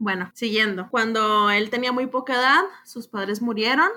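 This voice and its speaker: The speaker is a woman with a Mexican accent. Her pitch is fairly high. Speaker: literature podcast co-host. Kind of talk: casual chat about a book.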